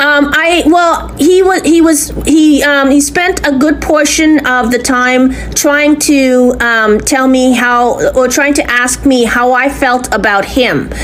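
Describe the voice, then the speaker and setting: At a very slow pace and with hardly any pauses, a woman speaks high-pitched with ordinary pitch variation and very even loudness, amid audible room echo and noticeable background noise. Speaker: complainant. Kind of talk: recorded phone complaint to police. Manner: halting.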